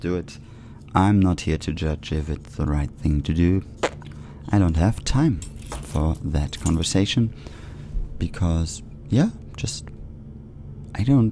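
Over noticeable background noise, a man with a German accent speaks at a very slow pace in a very deep, low pitch, with lively intonation and long, frequent pauses. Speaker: community radio host. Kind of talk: solo monologue. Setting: radio studio.

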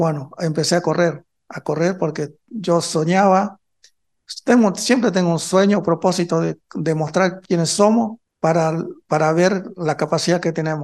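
Speaking at a fairly slow pace, a man has a high voice with fairly even intonation. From northern Argentina, Chaco. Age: 50s. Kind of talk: interview. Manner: halting.

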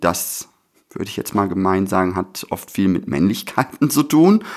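At a moderate pace, a man with a fairly low pitch and lively intonation speaks in an ordinary speaking voice. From Germany. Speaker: radio host and performance artist. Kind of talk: casual chat. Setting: radio studio.

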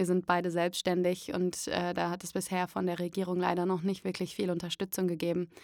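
A woman's fairly low voice, monotone and flat, at a fairly quick pace on a very clean recording with a silent background. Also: hardly any pauses. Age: 30s. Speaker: voice actor and musical performer. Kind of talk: interview testimony. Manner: hesitant with many fillers.

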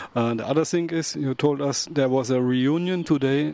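Over noticeable background noise, a man with a German accent and medium pitch talks at a moderate pace. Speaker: community radio host. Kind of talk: radio show presenting. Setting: studio.

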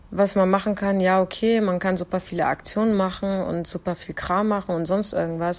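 A woman talks at a moderate pace with fairly even intonation. It is a plain, everyday voice. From Germany. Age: 20s. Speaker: political scientist. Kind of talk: pre-recorded interview answer.

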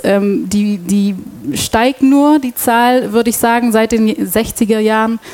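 Over noticeable background noise, a woman talks at a very slow pace, her fairly high pitch showing ordinary variation. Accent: Dutch. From Belgium, Antwerp. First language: Dutch (speaking German). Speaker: radio host. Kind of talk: panel discussion moderation. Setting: stage with audience.

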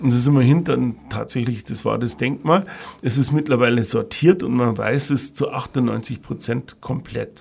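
There's vocal fry in this man's medium-pitched voice. He talks at a fairly slow pace. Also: ordinary pitch variation. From Bavaria, Ingolstadt. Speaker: hotel and restaurant manager. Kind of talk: interview.

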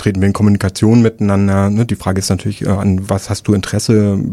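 This man has an unremarkable speaking voice, fairly low in pitch and moderate in pace. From Rostock area, northern Germany. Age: 30s. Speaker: archivist, political educator. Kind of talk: radio interview. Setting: radio studio.

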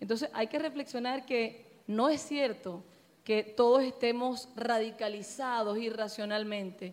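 At a fairly slow pace, a woman uses an ordinary speaking voice, fairly high in pitch with ordinary pitch variation. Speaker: political activist, audience member. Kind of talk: audience Q&A discussion.

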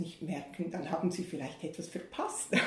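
Audible room echo surrounds a woman whose pitch is fairly low. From Switzerland, Bern. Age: 60s. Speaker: pastor. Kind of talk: interview.

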